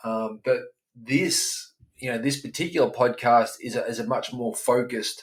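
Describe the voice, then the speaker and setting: Speech with an Australian accent comes at a fairly slow pace. Its pitch variation is ordinary. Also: man. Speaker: life coach for dads. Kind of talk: podcast monologue. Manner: casual, many fillers and repetitions.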